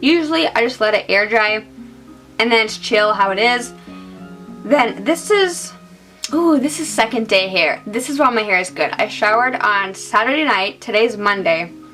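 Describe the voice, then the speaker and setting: With music playing in the background, a woman talks at a moderate pace in a fairly high voice, her intonation lively. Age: 20s. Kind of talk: casual hair tutorial to camera. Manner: efficient, detailed, can come across as angry.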